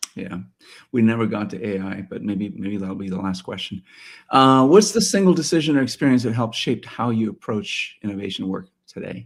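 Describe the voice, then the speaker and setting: With an unremarkable speaking voice, a man at medium pitch talks at a fairly quick pace, using lively intonation and big swings in loudness. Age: 60s. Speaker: podcast host. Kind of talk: interview.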